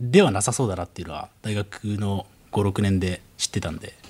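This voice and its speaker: A man talks at a fairly quick pace in a fairly low pitch. His voice is somewhat breathy, with ordinary pitch variation. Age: 20s. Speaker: rapper. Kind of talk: casual chat.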